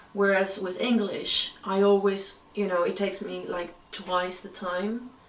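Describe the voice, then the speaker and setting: A woman at medium pitch speaks at a fairly slow pace in a monotone, flat intonation, her loudness swinging widely. The recording carries audible room echo and noticeable background noise. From Greece. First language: Greek. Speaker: actress and screenwriter. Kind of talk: interview.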